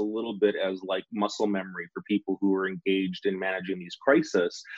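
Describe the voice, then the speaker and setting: A very fast pace in a Western Canadian accent. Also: man. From Saskatchewan, Western Canada. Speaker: public sector digital leadership director. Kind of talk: podcast interview. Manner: halting, many fillers.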